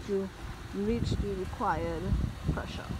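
A woman's voice comes through with a dry sound and no echo, amid noticeable background noise. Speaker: how-to narrator. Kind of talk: tutorial. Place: street. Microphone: phone near.

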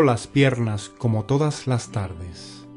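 A man at a very slow pace with ordinary pitch variation, music in the background. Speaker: poetry reciter. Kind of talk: poetry reading. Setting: background music.

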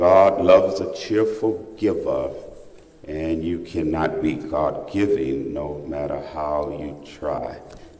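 Pitch moves with ordinary variation. The delivery is very slow. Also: man, very deep, low pitch for a man. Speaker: preacher. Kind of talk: sermon in full flow, preaching to a church congregation. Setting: church. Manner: animated, rousing, call-and-response with the congregation. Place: church. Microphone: podium.

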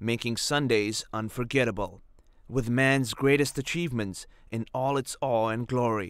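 This man has a plain, everyday voice at a medium pitch, with fairly even intonation and a moderate pace. The recording is very clean and the background is silent. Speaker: voice actor. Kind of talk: storytelling promo read.

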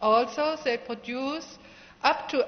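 Very slowly, a woman speaks in a high pitch. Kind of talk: formal ceremony speech. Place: hall. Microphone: podium.

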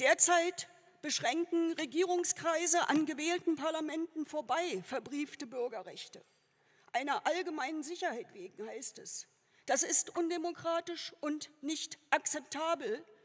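A woman at an extremely high pitch, fairly slow, with ordinary pitch variation. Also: quiet background. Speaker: politician giving a candidacy speech. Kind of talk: political speech. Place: hall. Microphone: podium.

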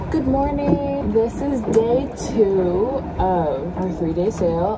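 A woman speaks with lively intonation over clear background noise.

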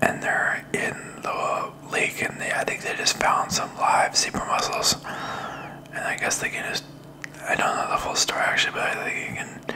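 Soft-spoken and whispering, a man talks at a moderate pace over light background noise. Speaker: vlogger. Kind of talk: casual vlog chat. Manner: soft close-mic ASMR whisper. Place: home room. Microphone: studio mic.

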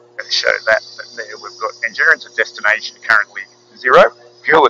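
At a fairly quick pace, a man speaks over light background noise in a dry sound with no echo. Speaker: pilot instructor. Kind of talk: tutorial. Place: plane. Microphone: headset.

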